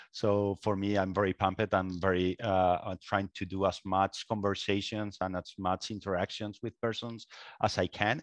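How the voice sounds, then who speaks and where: A man talks at a moderate pace in a fairly low pitch, his intonation flat and monotone. The sound is dry and close with no echo, against a quiet background. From Spain. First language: Spanish. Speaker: guest, product manager. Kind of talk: casual interview. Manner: halting, with many fillers.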